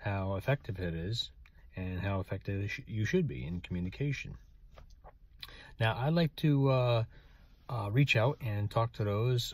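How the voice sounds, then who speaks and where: With long, frequent pauses at a fairly slow pace, a man speaks in a somewhat breathy voice, the sound dry with no echo. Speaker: writer and author. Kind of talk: casual talk to camera. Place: car. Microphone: phone near.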